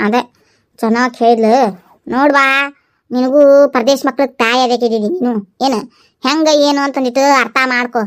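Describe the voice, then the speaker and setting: A woman uses a cartoonish character voice at a high pitch and a moderate pace. Her loudness stays very even. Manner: long-winded, dramatic.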